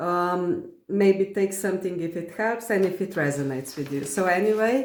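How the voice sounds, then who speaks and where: Speaking with a non-native accent, a woman uses medium pitch, ordinary pitch variation and a moderate pace. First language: not English. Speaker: spiritual content creator. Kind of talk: reading aloud from personal journal with commentary. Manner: halting, many fillers.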